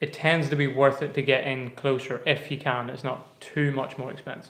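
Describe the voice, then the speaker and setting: A man speaks with a strong Irish accent and a fairly high pitch. His intonation is monotone and flat, his pace moderate. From Ireland. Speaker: travel vlogger. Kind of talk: casual live stream chat. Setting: live stream, quiet room.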